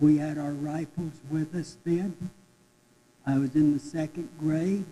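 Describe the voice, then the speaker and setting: A very slow, fairly high-pitched male voice with an American accent and fairly even intonation. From Cortez, Colorado. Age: 80s+. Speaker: city council candidate, Navy veteran. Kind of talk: candidate forum statement.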